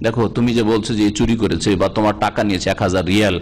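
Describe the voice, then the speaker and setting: A man speaks against noticeable background noise. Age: 50s. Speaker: Islamic preacher. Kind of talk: religious lecture.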